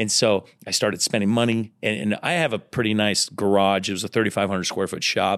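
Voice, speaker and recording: With an unremarkable speaking voice, a man speaks at a fairly low pitch and a fairly quick pace, with ordinary pitch variation and hardly any pauses. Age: 30s. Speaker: entrepreneur. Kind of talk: interview.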